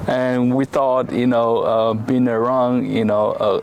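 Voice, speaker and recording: A man with a medium-pitched voice speaks very slowly in a flat monotone, with noticeable background noise behind him. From Taiwan. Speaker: immigrant interviewee. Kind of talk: casual interview. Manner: halting, many fillers.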